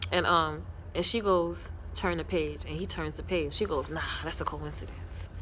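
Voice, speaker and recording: With audible room echo, a woman speaks in an animated tone at a moderate pace. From New York. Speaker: TV series reviewer, vlogger. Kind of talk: casual show recap. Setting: outdoors. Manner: loud.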